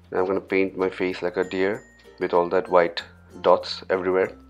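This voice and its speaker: Over music in the background, a man with a very deep, low pitch speaks at a fairly quick pace. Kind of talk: comedic voice-over commentary. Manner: joking, playful.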